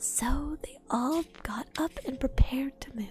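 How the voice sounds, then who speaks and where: A soft-spoken voice in a calm tone, dry with no echo, over light background noise. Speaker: streamer. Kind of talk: ASMR book reading. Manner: soft-spoken, calm. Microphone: studio mic.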